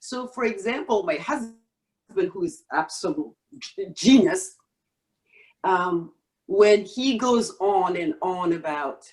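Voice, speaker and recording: Speaking in a Senegalese accent at a very slow pace, a woman uses a medium pitch with very wide pitch swings. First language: Wolof. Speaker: stake pool operator, real estate professional. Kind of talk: podcast interview. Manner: halting, many fillers.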